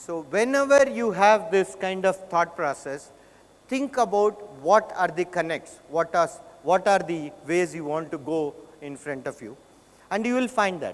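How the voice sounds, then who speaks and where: A man with a South Indian accent, high-pitched, with lively intonation, big swings in loudness and noticeable background noise. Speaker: conference speaker. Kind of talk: keynote talk.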